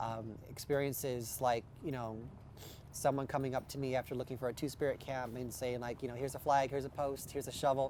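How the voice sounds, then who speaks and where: A man with an American accent, very fast and monotone, his intonation flat. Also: medium pitch for a man. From Nebraska, US. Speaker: activist at protest camp. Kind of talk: documentary interview.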